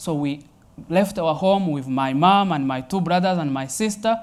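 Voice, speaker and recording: On a very clean recording with a silent background, a man with a Rwandan accent speaks fairly slowly at a fairly high pitch, with ordinary pitch variation. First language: Kinyarwanda. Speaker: Jesuit priest. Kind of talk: personal testimony talk. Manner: hesitant with frequent fillers.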